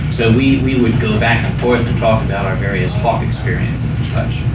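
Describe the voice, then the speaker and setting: A man's words arrive at a moderate speed while noticeable background noise carries on. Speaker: convention storyteller. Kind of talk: live storytelling performance to an audience at a convention. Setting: live convention room with audience. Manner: casual, conversational, humorous.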